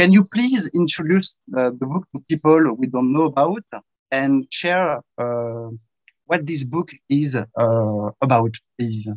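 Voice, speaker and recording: A man with a French accent talks at a fairly slow pace and a medium pitch, using lively intonation. The sound is dry and close, without echo. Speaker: event host, interviewer. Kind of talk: interview. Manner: halting.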